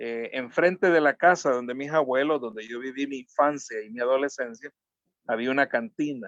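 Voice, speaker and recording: In a Salvadoran accent, a man speaks at a moderate pace with ordinary pitch variation, and the sound is dry and close with no echo. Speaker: social activist and communicator. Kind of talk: interview. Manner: halting.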